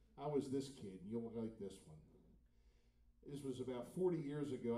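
A man at a moderate pace, his pitch swinging very widely, with audible room echo. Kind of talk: stage banter with audience. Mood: joking, playful. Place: cafe. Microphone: camera far.

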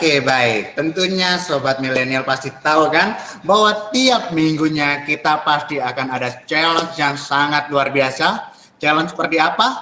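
There is audible room echo around a man's voice. He is fairly high in pitch and talks at a moderate pace. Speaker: student moderator. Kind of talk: event MC. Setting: video call. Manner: formal, upbeat. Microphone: webcam.

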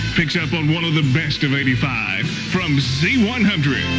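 Loud background noise runs behind speech at a moderate pace. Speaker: radio DJ. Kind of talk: top 40 radio DJ patter. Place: studio. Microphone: studio mic.

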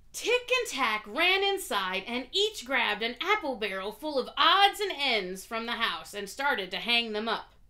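Reading aloud in a natural voice. The words are spoken as they are read.

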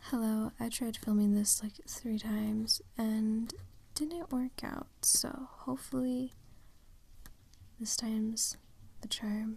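Soft-spoken delivery at a very slow pace, with long, frequent pauses. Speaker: hobby ASMR creator. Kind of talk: soft-spoken ASMR drawing video. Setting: indoors, washing machine in background. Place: home room. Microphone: phone near.

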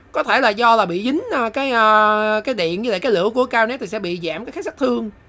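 Her voice is fairly high in pitch. The woman's intonation is lively. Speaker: gaming youtuber. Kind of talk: live game commentary, casual and comedic. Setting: solo voiceover recorded over gameplay. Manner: animated, excitable; fast, chatty, bursts of exclamation when a move lands.

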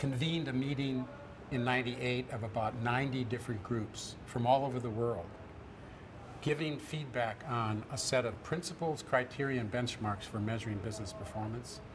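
Noticeable background noise sits under speech with ordinary pitch variation at a moderate pace. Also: man. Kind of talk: interview answer. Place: hall.

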